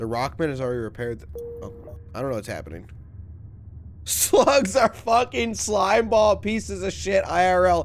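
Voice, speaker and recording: Over music in the background, a man with an American accent talks at a moderate pace, with long, frequent pauses and big swings in loudness. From Mississippi, US South. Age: 20s. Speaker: video game streamer. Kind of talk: casual live-stream commentary while gaming. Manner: animated.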